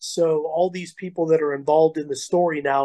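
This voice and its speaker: A plain, everyday voice, a man at a fairly high pitch with fairly even intonation and a moderate pace, dry and close with no echo. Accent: American. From Colorado. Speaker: heavy metal vocalist. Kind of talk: interview.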